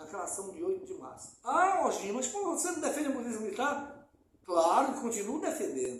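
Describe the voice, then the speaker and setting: Loud, fairly quick speech with very wide pitch swings. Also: man, extremely high pitch for a man. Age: old. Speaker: community activist. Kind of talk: interview. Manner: halting.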